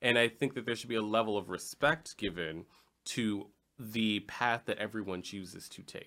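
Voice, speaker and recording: On a very clean recording with a silent background, a man with an American accent and a fairly low pitch speaks at a moderate pace, his bright, sharp tone showing ordinary pitch variation and big swings in loudness. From Chicago, Illinois. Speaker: podcast host. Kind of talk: casual panel discussion.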